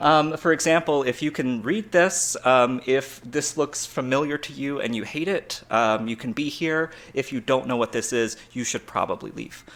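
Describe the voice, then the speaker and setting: A man with an American accent, fairly high pitch, ordinary pitch variation, and hardly any pauses. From US South, Georgia. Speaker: conference speaker, web developer. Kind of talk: conference talk. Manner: fast.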